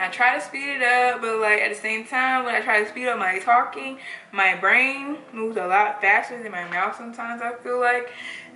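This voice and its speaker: A woman's fairly high voice with ordinary pitch variation and hardly any pauses, plus noticeable background noise and audible room echo. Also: fairly quick pace. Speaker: beauty vlogger. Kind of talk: casual chat.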